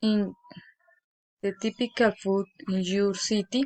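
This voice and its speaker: A woman's voice with a fairly high pitch. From Colombia, Tolima. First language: Spanish. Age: 20s. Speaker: student. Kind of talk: reading aloud. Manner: halting.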